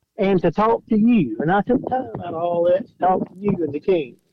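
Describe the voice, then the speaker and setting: The speaker has an Alabama accent and lively intonation. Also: man. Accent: Alabama Southern. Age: 40s. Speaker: caller, fan phoning into a podcast. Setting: phone. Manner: joking, teasing.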